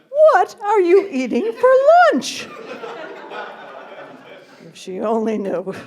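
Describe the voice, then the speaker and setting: Against noticeable background noise, a woman with an extremely high pitch and a warm tone talks at a very slow pace, making very wide pitch swings and big swings in loudness, with long, frequent pauses. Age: 60s. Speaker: stand-up comedian. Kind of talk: stand-up comedy set. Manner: warm, witty storytelling.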